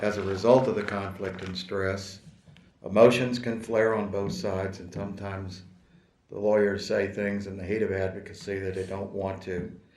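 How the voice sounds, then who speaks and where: Amid audible room echo, a man with a fairly low pitch speaks at a moderate pace in a monotone, flat intonation, his loudness swinging widely. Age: 60s. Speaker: attorney in disciplinary case. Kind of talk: court hearing statement. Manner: formal.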